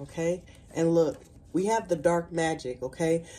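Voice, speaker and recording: An unremarkable speaking voice from a woman, fairly low in pitch, at a moderate pace. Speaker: tarot card reader. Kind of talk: spiritual reading to viewers. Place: home room. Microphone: phone near.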